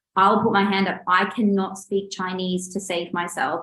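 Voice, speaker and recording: A medium-pitched woman with an Australian accent at a moderate pace. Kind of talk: webinar presentation. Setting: online webinar.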